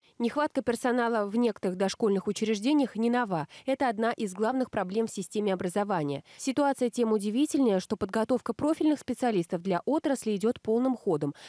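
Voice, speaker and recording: A woman's fairly high, dark and mellow voice, fairly quick and lively in intonation, with a dry sound and no echo. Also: hardly any pauses, quiet background. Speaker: TV news reporter. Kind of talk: news report narration. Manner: formal.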